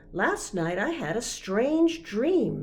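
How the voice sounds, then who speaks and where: A woman does a put-on character voice, fairly high in pitch with very wide pitch swings. Light background noise can be heard. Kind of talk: bedtime story. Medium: read story.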